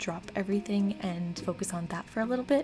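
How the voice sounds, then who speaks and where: A woman talking very fast over background music, with ordinary pitch variation. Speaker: artist and manga creator. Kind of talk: casual voiceover talk over speedpaint.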